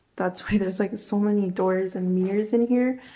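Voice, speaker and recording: Audible room echo surrounds a woman speaking in a monotone, flat intonation. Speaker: home vlogger. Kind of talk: casual vlog chat. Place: home room. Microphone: phone near.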